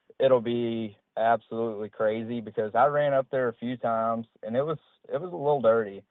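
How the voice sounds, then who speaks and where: This man has a normal speaking voice and an American accent. He talks at a fairly quick pace and a medium pitch. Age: 20s. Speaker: professional bass angler. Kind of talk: interview.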